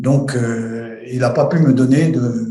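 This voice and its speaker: The voice has fairly even intonation and audible room echo. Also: man. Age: 70s. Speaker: retired airline pilot. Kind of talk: testimony. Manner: halting, many hesitations.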